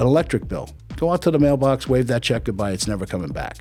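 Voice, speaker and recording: Against music in the background, a man at a medium pitch talks at a fairly quick pace with lively intonation. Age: 60s. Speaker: life insurance agent. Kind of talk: casual interview.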